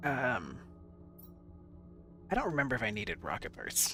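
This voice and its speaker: With music in the background, the speech moves at a moderate pace. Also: man. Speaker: gaming video creator. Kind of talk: casual gameplay commentary. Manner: casual, halting with many fillers.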